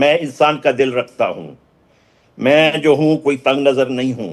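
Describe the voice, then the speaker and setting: A man's voice at a fairly high pitch. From Balochistan, Pakistan. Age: 60s. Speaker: activist. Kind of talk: news interview. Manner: impassioned.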